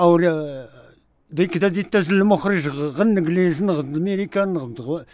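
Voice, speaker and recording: At a fairly slow pace, a man with a normal speaking voice talks in a fairly high pitch with ordinary pitch variation, a dry sound with no echo, and a quiet background. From Ouarzazate, Morocco; Morocco. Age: 60s. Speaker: film extra. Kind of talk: radio interview. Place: studio.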